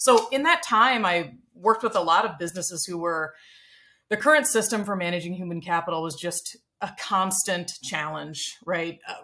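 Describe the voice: At a moderate pace, a woman speaks with a fairly low pitch, a bright, sharp tone and ordinary pitch variation.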